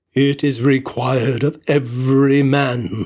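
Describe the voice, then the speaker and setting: A man puts on a character voice at a medium pitch. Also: fairly slow pace. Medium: read story. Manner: solemn, grave.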